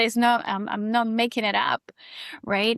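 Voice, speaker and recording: A woman with a Costa Rican accent speaks at a moderate pace and a fairly high pitch. The sound is dry and close with no echo, over a quiet background. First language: Spanish. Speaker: yoga and breathwork teacher. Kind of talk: casual interview chat.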